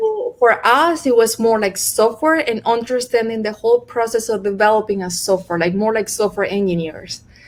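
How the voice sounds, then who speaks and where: With a Venezuelan accent, a woman speaks at a moderate pace with ordinary pitch variation and hardly any pauses. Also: fairly high pitch for a woman. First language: Spanish. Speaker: computer scientist, postdoctoral fellow. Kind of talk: interview answer.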